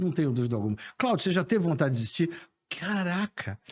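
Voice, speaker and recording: A man's animated, somewhat breathy voice at a fairly quick pace with very wide pitch swings. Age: 60s. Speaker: sales professor and speaker. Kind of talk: interview conversation.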